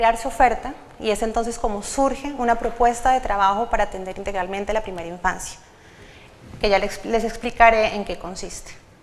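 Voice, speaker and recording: Over audible room echo, a woman with a fairly high pitch talks at a fairly quick pace with ordinary pitch variation. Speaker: government official presenting policy. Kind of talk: conference presentation. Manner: fast.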